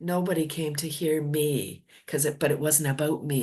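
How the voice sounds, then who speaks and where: Against a quiet background, a woman speaks in an animated tone at a very deep, low pitch. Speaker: public speaker and business owner. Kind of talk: interview. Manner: loud.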